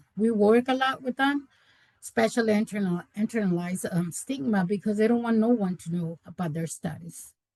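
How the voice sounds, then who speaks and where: This woman speaks with a Spanish accent at a medium pitch and a moderate pace, her tone dark, mellow and somewhat breathy. Her pitch varies in an ordinary way, and the sound is dry and close with no echo. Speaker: community health worker. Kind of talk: webinar presentation. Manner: halting, many repetitions.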